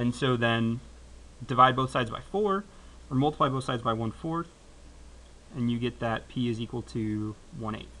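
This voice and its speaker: In a bright, sharp tone at medium pitch, a man speaks with ordinary pitch variation and long, frequent pauses. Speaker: math teacher. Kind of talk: classroom lecture. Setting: classroom with students. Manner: fast.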